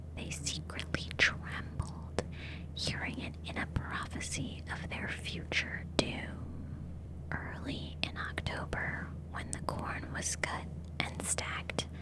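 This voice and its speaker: Whispering at a very slow pace, a woman keeps a calm tone amid noticeable background noise. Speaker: ASMR artist. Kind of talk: ASMR audiobook reading. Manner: soft, whispery, calm.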